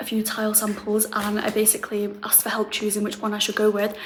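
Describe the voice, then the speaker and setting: A woman with a British accent and fairly high pitch talks at a fairly quick pace, with noticeable background noise and audible room echo. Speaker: renovation vlogger. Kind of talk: casual vlog.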